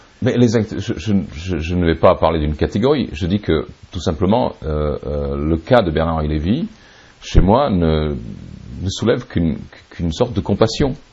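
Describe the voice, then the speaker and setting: With noticeable background noise behind him, a man with a very deep, low pitch and lively intonation talks at a fairly slow pace, pausing long and often. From Serbia. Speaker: writer and publisher. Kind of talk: interview.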